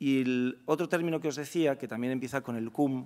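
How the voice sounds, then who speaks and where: At a moderate pace, a man talks in an unremarkable speaking voice at medium pitch. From Spain. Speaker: law professor and director general; speaker. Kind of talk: lecture. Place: hall. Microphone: podium.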